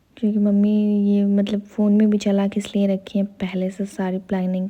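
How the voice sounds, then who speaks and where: Soft-spoken and somewhat breathy, this woman has a dark, mellow tone at a medium pitch. Her intonation stays monotone and flat. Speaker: vlogger. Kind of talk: casual vlog commentary. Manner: soft-spoken, quiet.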